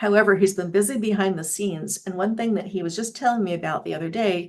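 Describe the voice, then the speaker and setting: A woman talks at a very fast pace with medium pitch. Her pitch varies in an ordinary way. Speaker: association general counsel and moderator. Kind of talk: webinar panel discussion.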